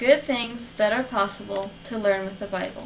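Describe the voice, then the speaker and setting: The speech moves at a fairly slow pace with ordinary pitch variation. Audible room echo and noticeable background noise are present. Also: woman. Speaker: college student. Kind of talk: persuasive speech. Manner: formal.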